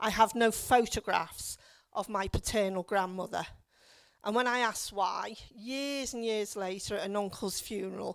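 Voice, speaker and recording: In a Liverpool accent, a woman talks at a moderate pace with fairly even intonation on a very clean recording with a silent background. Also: fairly high pitch for a woman. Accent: Liverpool (Scouse). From Liverpool, England. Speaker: local councillor. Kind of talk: public talk. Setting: stage with audience.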